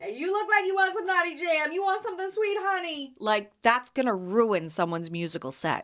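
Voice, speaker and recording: Loud and animated, a woman with a high voice speaks at a fairly quick pace with hardly any pauses and very wide pitch swings. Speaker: podcast host and jam vendor. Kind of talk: casual solo podcast chat.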